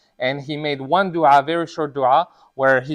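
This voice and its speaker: A non-native accent, fairly even intonation, and a quiet background. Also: man. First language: not Arabic. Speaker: imam giving a sermon. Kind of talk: sermon. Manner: conversational, many fillers.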